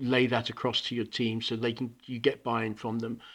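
A British accent against a quiet background. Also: man. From Hong Kong, international school. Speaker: school principal. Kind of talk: interview. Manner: halting, repeats words.

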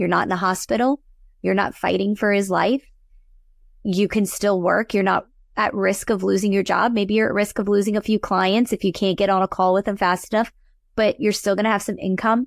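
Speaking in a normal speaking voice with an American accent, a woman talks at a fairly quick pace and medium pitch with fairly even intonation and very even loudness, the sound dry and close with no echo on a very clean recording with a silent background. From US South, New Orleans, Louisiana. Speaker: accountant and tax coach. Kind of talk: casual interview chat.

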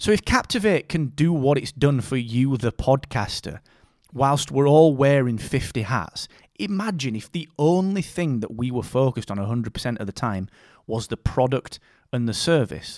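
With a Yorkshire accent, the speaker uses lively intonation at a moderate pace in a very clean recording with a silent background and a dry, close sound with no echo. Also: man, medium pitch for a man. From northern England, Barnsley (South Yorkshire). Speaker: podcast company co-founder and CEO. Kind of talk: casual interview chat.

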